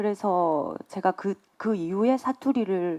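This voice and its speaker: A woman's dark, mellow tone with ordinary pitch variation, dry and close with no echo, over a quiet background. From Gyeongsang region, South Korea. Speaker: film director. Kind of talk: press conference Q&A.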